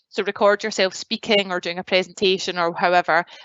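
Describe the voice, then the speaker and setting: A woman's monotone, flat delivery in a strong Glasgow accent, at a moderate pace. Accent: strong Glaswegian Scottish. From Scotland, Glasgow. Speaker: graduate recruitment advisor. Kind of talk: presentation. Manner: casual, many fillers.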